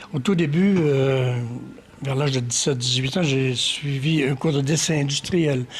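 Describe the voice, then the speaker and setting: A man with a fairly high pitch talks fairly slowly, his intonation fairly even. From Quebec, Magdalen Islands and Quebec City. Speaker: painter and sculptor. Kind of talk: interview. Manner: hesitant, many fillers.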